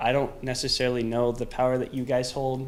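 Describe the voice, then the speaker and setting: A man talks at a moderate speed, his voice carrying audible echo from the room. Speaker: student band member. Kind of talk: public comment. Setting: student government meeting. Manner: halting, stuttering.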